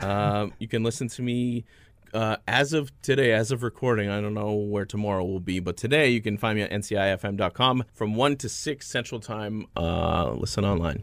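On a very clean recording with a silent background, a man with a plain, everyday voice speaks at a moderate pace, his fairly low pitch showing ordinary variation. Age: 30s. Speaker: radio host and former pro wrestler. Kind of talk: interview.

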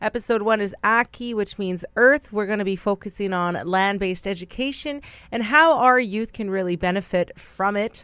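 The recording of a woman's unremarkable speaking voice has a dry, close sound with no echo and ordinary pitch variation. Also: medium pitch for a woman, moderate pace, hardly any pauses. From Manitoba, Canada (Brokenhead Ojibwe Nation, near Winnipeg). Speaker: podcast host, youth land-based education coordinator. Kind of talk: podcast introduction monologue. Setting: radio studio.

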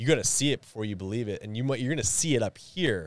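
In a Canadian prairie accent, a man with a medium pitch talks at a fairly quick pace with lively intonation, on a very clean recording with a silent background and a dry, close sound with no echo. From Winnipeg, Manitoba, Canada. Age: 30s. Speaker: podcaster and former bricklayer. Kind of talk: casual interview chat. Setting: studio. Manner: animated.

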